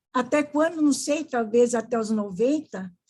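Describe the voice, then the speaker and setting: Here, a woman's high pitch comes with a dark, mellow tone and ordinary pitch variation. She speaks at a very slow pace on a very clean recording with a silent background. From Paraná, Brazil. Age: 80s+. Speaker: psychologist and podiatrist. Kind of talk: interview.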